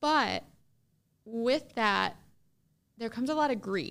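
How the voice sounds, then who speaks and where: A woman speaks with a fairly high pitch. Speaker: loan officer and podcast host. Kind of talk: educational podcast monologue. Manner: enthusiastic; casual, conversational.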